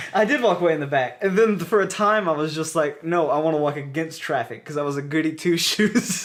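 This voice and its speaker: Over noticeable background noise, a man with an American accent talks at a fairly quick pace, his fairly high pitch showing ordinary pitch variation. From US South. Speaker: podcast co-host. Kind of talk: casual chat.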